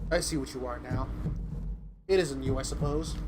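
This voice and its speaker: A man speaks at a moderate pace in a put-on character voice, with a hissing quality and clearly audible background noise. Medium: virtual streamer. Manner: quiet, cold, barely moving lips.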